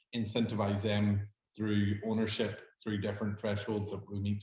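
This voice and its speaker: With a Northern Irish accent, a man speaks fairly quickly in a fairly low-pitched, somewhat breathy voice with a dark, mellow tone. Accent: Derry Northern Irish. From Northern Ireland, Derry. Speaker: hospitality startup founder. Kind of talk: pitch Q&A.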